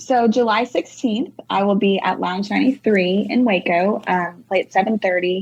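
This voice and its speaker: A woman's medium-pitched voice with a Texan accent, ordinary pitch variation, a moderate pace and hardly any pauses. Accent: Texan US Southern. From North Texas. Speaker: singer-songwriter. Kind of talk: casual interview chat. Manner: animated.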